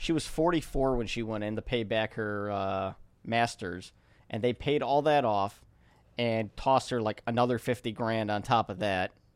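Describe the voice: Here a man talks in an unremarkable speaking voice at medium pitch and a moderate pace, with ordinary pitch variation. The recording is very clean, the background silent.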